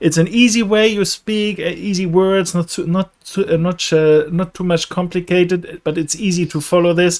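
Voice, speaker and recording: A man with a German accent at a high pitch and moderate pace, with fairly even intonation. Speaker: professional trader. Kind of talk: casual chat. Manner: halting.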